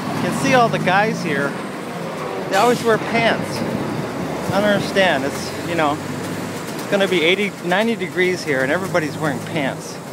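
Loud background noise fills this dry recording with no echo, where the speaker keeps a moderate pace broken by long, frequent pauses. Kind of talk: casual vlog chat. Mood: relaxed, joking. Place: bicycle. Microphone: phone near.

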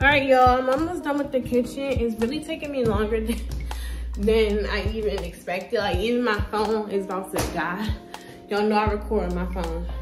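With clear music in the background, a woman talks at a fairly quick pace. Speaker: vlogger. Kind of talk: casual vlog chat. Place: kitchen. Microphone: phone near.

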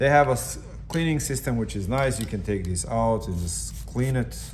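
A man speaks with lively intonation at a moderate pace. Background noise is clearly audible. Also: medium pitch for a man.

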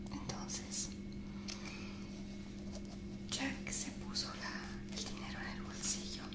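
A soft-spoken woman whispers at a very slow pace against loud background noise. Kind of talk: tutorial with storytelling. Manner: soft whisper while pushing the knife in. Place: home room. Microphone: phone near.

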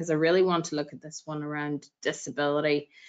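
A woman with a Northern Irish accent speaks over a quiet background. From Northern Ireland. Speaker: equality advisor. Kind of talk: presentation. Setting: video call. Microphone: video call.

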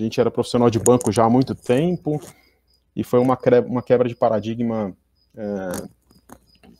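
A man speaks at a medium pitch with a dark, mellow tone and ordinary pitch variation. The sound is dry and close with no echo, and his pauses are long and frequent. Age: 30s. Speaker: information security executive. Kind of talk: conference talk.

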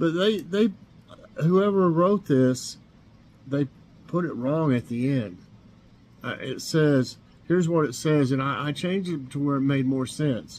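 With an Appalachian accent, the speaker talks at a fairly slow pace with lively intonation and long, frequent pauses. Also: man. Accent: Appalachian Southern US. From Northeast Tennessee. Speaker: YouTube vlogger. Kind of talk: casual morning chat vlog. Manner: halting, many fillers. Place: kitchen. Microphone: webcam.

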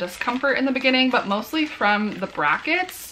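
A woman speaks at a moderate pace in a bright, sharp tone over faint background noise.

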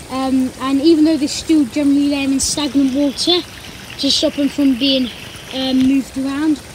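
The speech comes at a moderate pace. The sound is dry with no echo, with light background noise. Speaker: garden pond vlogger. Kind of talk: casual vlog chat. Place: garden. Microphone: phone near.

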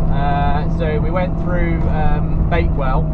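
Loud background noise runs beneath a man's talking. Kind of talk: casual vlog chat. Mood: light-hearted mild worry. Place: car. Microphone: camera far.

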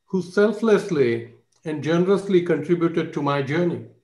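A man's high voice at a fairly slow pace, with lively intonation and audible room echo. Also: quiet background. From India. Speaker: finance professor. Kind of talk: panel speech. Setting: video call. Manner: humble. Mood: reflective, grateful. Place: home room. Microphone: video call.

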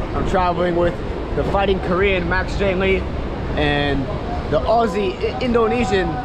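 A man's moderately paced speech competes with loud background noise. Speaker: travel vlogger. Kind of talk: casual vlog chat. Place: train. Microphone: phone near.

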